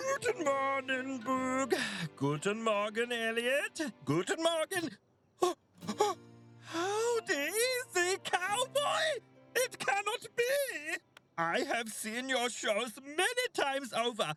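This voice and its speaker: A cartoonish character voice with a German accent, part of the act, drags along at a very slow pace with long, frequent pauses over faint background music. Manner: formal, excitable, giggly.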